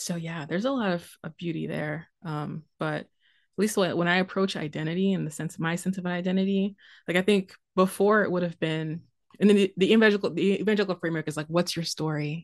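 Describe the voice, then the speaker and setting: Against a quiet background, a woman with an American accent talks very fast in a fairly low voice with fairly even intonation. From US, Haitian American family. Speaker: theopoet and ministry worker. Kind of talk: casual chat.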